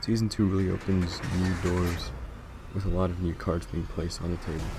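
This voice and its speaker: Very deep, low male voice, monotone and flat, at a fairly quick pace over music in the background. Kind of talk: TV series review to camera.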